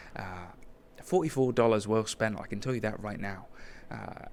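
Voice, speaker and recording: At a moderate pace, a man with a British accent speaks in a fairly low pitch with fairly even intonation. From Britain. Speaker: podcast host. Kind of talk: casual travel vlog monologue. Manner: casual, hesitant with fillers.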